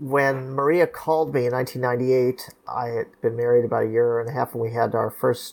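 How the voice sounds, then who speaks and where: This man has a Californian accent, medium pitch and fairly even intonation at a moderate pace. The recording is very clean, with a silent background. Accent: General American, California. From Los Angeles. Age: 50s. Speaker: lawyer. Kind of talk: interview, storytelling.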